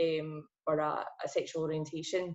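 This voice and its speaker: The speaker is a woman. She has a Glaswegian accent. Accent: Glaswegian Scottish. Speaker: PR account manager. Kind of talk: podcast interview. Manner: casual, hesitant with many fillers.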